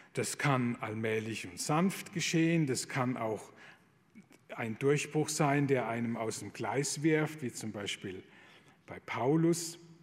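Speaking very slowly at a medium pitch, a man's voice swings widely in loudness. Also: ordinary pitch variation. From Palatinate, southwest Germany. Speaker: Jesuit priest. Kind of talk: lecture.

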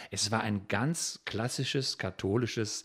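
A man talks with a fairly low pitch and ordinary pitch variation. The recording is very clean, with a silent background. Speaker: children's songwriter. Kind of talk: interview. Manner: halting.

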